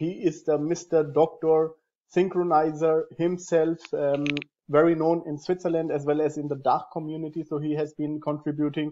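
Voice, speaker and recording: The voice has a dark, mellow tone and monotone, flat intonation at a moderate pace. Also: man. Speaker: host of software training series. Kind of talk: interview introduction. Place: home room. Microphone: earbuds.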